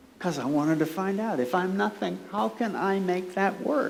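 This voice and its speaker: A woman talks at a moderate pace with ordinary pitch variation, amid audible room echo and noticeable background noise. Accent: American. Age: 70s. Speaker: author and performance artist giving a keynote. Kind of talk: conference keynote speech. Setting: conference room with audience. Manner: conversational and playful.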